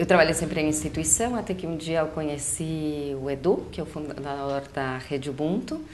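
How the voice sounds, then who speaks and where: A woman with a very deep, low pitch speaks in a Uruguayan accent at a moderate pace, with ordinary pitch variation and hardly any pauses. Audible room echo and noticeable background noise sit around her voice. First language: Spanish (speaking Portuguese). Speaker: psychologist and educator. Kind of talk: casual chat. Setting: webcast.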